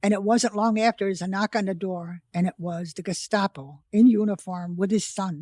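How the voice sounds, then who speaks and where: A woman with an American accent, dark, mellow tone and medium pitch, at a moderate pace with hardly any pauses and fairly even intonation, in a dry, close sound with no echo and a very clean recording with a silent background. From United States. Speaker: World War II survivor and author. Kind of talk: interview answer.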